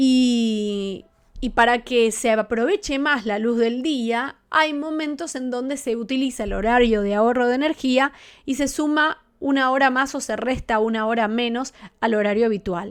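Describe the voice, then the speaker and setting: In a very clean recording with a silent background, a woman with a high-pitched voice talks at a fairly slow pace. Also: ordinary pitch variation. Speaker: astrologer. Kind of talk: live-streamed tutorial. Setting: live stream with chat.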